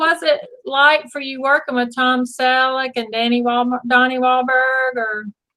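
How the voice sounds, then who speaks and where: A woman speaks in a raised, projected voice, high in pitch with a bright, sharp tone. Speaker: interview host. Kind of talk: live online interview host talk.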